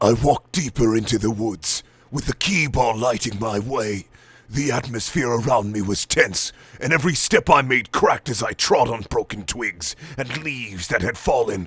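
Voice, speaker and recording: At a moderate pace, a man uses a put-on character voice at a medium pitch. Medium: read story. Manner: arrogant, gruff, scornful.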